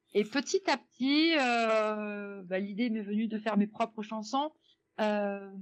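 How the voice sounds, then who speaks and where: A woman with a fairly high pitch speaks at a very slow pace, with ordinary pitch variation. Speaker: jazz singer. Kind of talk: radio interview. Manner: hesitant, many fillers.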